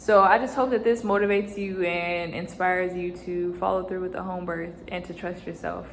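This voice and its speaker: Audible room echo surrounds a woman of medium pitch who speaks at a moderate pace with fairly even intonation and hardly any pauses. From United States. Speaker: vlogger and new mother. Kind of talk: personal vlog storytelling.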